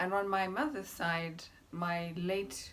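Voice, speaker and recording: A woman's medium-pitched, somewhat breathy voice in a room with audible echo. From Zimbabwe, Masvingo. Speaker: YouTuber. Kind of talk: casual vlog. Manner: animated.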